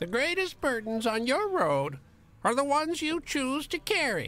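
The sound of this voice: Someone uses a put-on character voice with a high pitch at a moderate pace.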